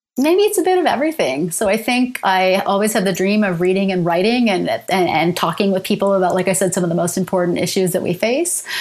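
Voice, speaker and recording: A woman with a Canadian accent talks at a very fast pace with hardly any pauses and very even loudness. Her medium pitch shows ordinary variation over noticeable background noise. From Canada, London, Ontario. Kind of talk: interview.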